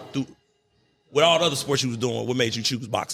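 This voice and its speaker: A man with a St. Louis accent, medium in pitch and animated in tone. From St. Louis, Missouri. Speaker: podcast host. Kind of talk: casual interview.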